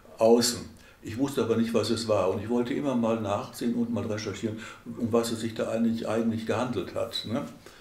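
Audible room echo surrounds a man speaking at medium pitch and a fairly quick pace in a monotone, flat intonation. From Schwerte, Germany. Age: 80s+. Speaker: oral history interviewee. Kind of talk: oral history interview answer. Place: home room.

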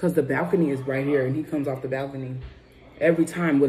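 Music plays in the background. A woman talks at a very deep, low pitch with ordinary pitch variation. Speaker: vlogger. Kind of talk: casual mukbang chat. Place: home room. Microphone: phone near.

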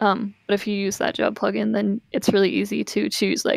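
Moderate pace, dry sound with no echo, and a quiet background. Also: woman. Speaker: Vocaloid music producer. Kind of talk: casual chat. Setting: video call. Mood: calm explanatory. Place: home room.

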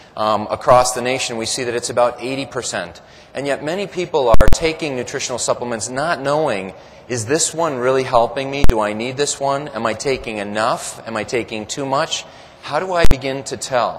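A man's voice moves through ordinary pitch variation while noticeable background noise is present. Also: moderate pace. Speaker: presenter. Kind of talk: lecture. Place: hall. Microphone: podium.

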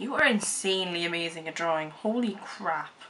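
Noticeable background noise accompanies a woman with an Irish accent speaking at a moderate pace. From Ireland. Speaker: vlogger. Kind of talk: casual vlog reaction to camera. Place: home room. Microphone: webcam.

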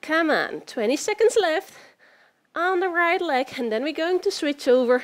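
Against a quiet background, a woman with an extremely high pitch speaks at a fairly slow pace. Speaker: fitness instructor. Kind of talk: workout instruction. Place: home room.

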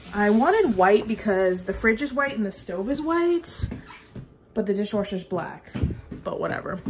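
A woman talks over noticeable background noise. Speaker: vlogger. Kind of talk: casual vlog chat. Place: kitchen. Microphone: phone near.

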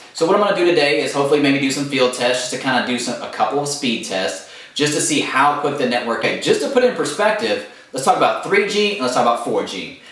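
A man talks very fast, and his voice carries audible room echo. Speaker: tech blogger. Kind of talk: casual vlog chat. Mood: playful, joking. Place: home room.

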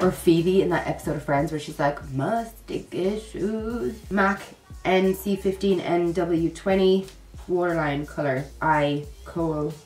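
Over light background noise and audible room echo, a woman speaks with a fairly low pitch. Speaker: beauty vlogger. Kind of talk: casual vlog chat, makeup tutorial. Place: home room.

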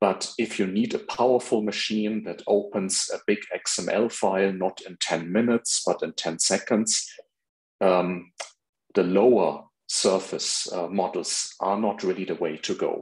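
Against a quiet background, a man with an unremarkable speaking voice talks at a fairly slow pace, fairly low in pitch with fairly even intonation. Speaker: presenter. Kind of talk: lecture. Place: home room.

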